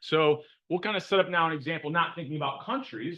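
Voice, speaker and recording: A man talks loudly at a fairly quick pace. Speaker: economics professor. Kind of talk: lecture. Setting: classroom with students. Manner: casual, conversational.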